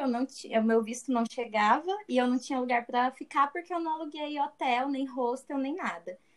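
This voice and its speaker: A woman's high-pitched voice at a moderate pace, with ordinary pitch variation and hardly any pauses. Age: 20s. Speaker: business graduate. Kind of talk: casual chat.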